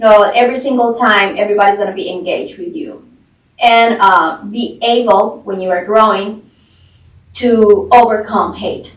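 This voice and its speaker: In a Colombian accent, a woman talks at a moderate pace with a fairly high pitch and ordinary pitch variation. Her loudness swings widely. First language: Spanish. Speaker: real estate agent. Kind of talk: podcast interview.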